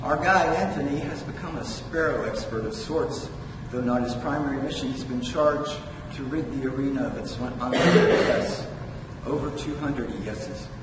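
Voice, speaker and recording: Loud background noise and audible room echo surround a man talking at a moderate pace. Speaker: poet. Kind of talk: poet reading own prose poem aloud, measured, with wry asides. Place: hall.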